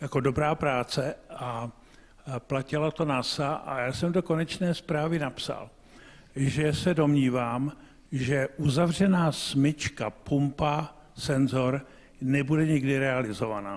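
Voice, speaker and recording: At a very slow pace, a man speaks with a fairly high pitch and ordinary pitch variation. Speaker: scientist in audience. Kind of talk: audience question. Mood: emphatic, sceptical. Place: hall.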